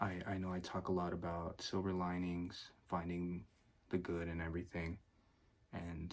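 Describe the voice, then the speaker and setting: Soft-spoken and relaxed, a man talks in a very deep, low voice. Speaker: ASMR creator. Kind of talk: self-development ramble, casual talk to camera. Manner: soft-spoken, relaxed.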